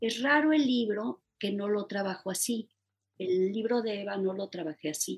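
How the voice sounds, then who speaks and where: A plain, everyday voice talks at a moderate pace with ordinary pitch variation. The sound is dry and close, with no echo. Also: woman, medium pitch for a woman. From Mexico City. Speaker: novelist and poet. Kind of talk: interview.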